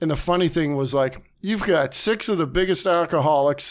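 Recorded very cleanly against a silent background, a man with an Ohio accent speaks at a moderate pace in a fairly high pitch, with ordinary pitch variation. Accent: Midwestern American (Ohio). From northeast Ohio, Warren. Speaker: comic book store owner. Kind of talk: casual interview. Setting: studio.

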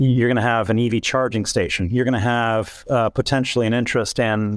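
On a very clean recording with a silent background, a man talks fairly quickly in a plain, everyday voice. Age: 50s. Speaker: tech company CEO. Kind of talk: interview.

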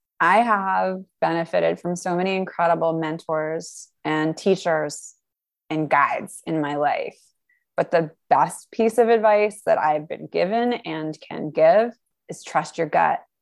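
A woman with an American accent, fairly low pitched, in a normal speaking voice with ordinary pitch variation at a fairly slow pace, against a quiet background. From New York. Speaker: journaling coach. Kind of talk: interview.

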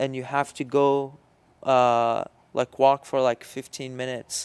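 Speaking fairly slowly with an Arabic accent, a man uses a medium pitch and a monotone, flat intonation, recorded with a dry, close sound and no echo. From Syria. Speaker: podcast co-host. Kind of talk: casual chat. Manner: halting.

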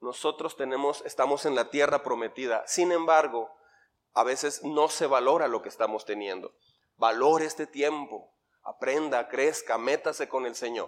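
At a moderate pace, a man uses an ordinary speaking voice, fairly high in pitch, with ordinary pitch variation. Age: 50s. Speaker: pastor. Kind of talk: sermon. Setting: church.

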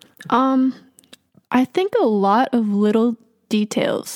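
A woman speaks with a dark, mellow tone and fairly even intonation, the sound dry and close with no echo over a silent background in a very clean recording. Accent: American. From Massachusetts, Boston area. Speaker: hip-hop artist and producer. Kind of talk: casual interview.

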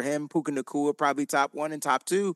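A man with an American accent talks at a fairly high pitch, his voice dry and close with no echo over a quiet background. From Connecticut, New Haven. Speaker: football content creator and writer. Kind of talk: casual chat.

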